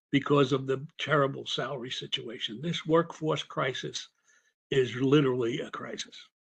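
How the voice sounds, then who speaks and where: Fairly high in pitch and somewhat breathy, a man speaks with fairly even intonation over a quiet background. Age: 80s+. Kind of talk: public comment at meeting. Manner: halting, many repetitions.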